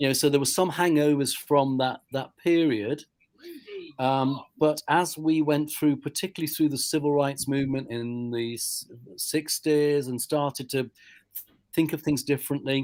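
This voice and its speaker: The man's pitch is fairly high. He keeps a moderate pace and fairly even intonation. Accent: British. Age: 60s. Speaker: church leader. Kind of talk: casual chat.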